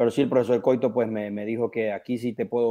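A man with a plain, everyday voice talks fairly quickly at a medium pitch. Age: 30s. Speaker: professional footballer. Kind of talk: radio interview.

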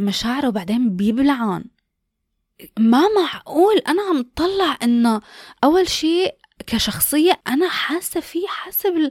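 A woman speaks in a high voice at a very slow pace. Her pitch swings very widely. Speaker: podcast host. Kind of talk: casual chat.

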